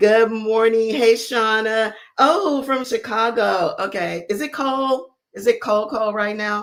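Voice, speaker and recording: Speaking very slowly with an American accent, a woman uses a fairly high pitch. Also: ordinary pitch variation. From US South, New Orleans. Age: 60s. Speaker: beauty YouTuber and business founder. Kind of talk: casual chat. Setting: live stream.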